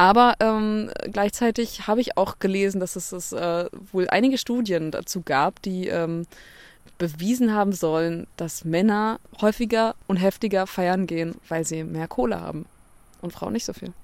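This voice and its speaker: On a very clean recording with a silent background, a woman speaks at a medium pitch and a moderate pace, with ordinary pitch variation. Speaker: podcast co-host. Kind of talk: casual chat. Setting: outdoors on a bench.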